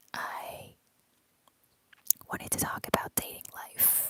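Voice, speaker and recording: Whispered words from a woman, delivered very slowly, with noticeable background noise behind them. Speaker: ASMR streamer. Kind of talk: ASMR live stream chat. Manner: whispering.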